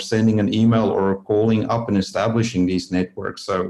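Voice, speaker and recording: At a moderate pace, a man with a non-native accent speaks in a dark, mellow tone, his pitch fairly low and his intonation fairly even. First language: not English. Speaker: disaster trauma researcher. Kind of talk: interview. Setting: podcast interview.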